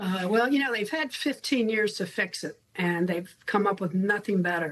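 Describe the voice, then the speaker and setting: Using a normal speaking voice, a woman talks at a medium pitch and a moderate pace. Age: 60s. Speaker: health care advocate. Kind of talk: news interview.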